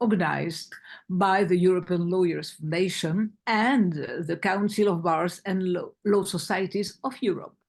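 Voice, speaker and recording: At a fairly slow pace, a woman with a French accent speaks at a medium pitch with ordinary pitch variation against a quiet background. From France. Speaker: foundation chair. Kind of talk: opening remarks. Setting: online webinar. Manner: halting.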